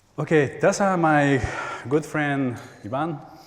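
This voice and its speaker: A man speaks at a very slow pace, with audible room echo. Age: 40s. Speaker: spiritual healer. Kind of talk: workshop talk. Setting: church stage with audience.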